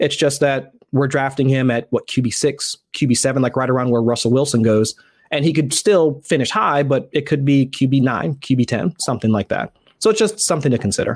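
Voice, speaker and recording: A man's normal speaking voice, medium in pitch with ordinary pitch variation and very even loudness, at a fairly quick pace. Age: 30s. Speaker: fantasy football writer. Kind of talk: casual chat.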